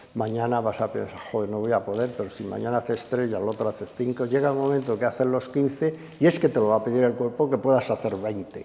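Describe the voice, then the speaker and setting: A man with a medium-pitched voice talks at a very fast pace, with hardly any pauses and fairly even intonation. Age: 80s+. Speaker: gym owner and fitness magazine director. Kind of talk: interview conversation.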